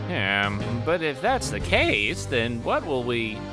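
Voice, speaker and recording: A man's put-on character voice at a medium pitch over loud background music. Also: fairly slow pace. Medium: dub.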